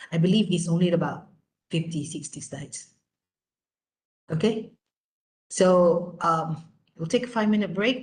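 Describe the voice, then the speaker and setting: A woman talks at a moderate pace. Her fairly low voice sounds somewhat breathy. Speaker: lecturer. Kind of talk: lecture.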